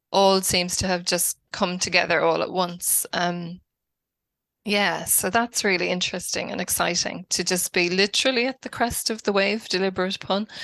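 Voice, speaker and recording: A woman with an Irish accent speaks at a moderate pace in a bright, sharp tone, her medium pitch held in fairly even intonation, with a dry, close sound, no echo and a quiet background. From Ireland, Wicklow. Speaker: academic researcher and author. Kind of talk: podcast interview. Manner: hesitant, many fillers.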